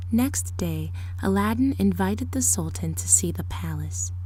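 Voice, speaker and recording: Noticeable background noise sits behind a dramatic tone delivered at a fairly slow pace. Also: woman. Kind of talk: ASMR storybook reading, fairy tale narration. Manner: softly spoken with occasional louder dramatic passages.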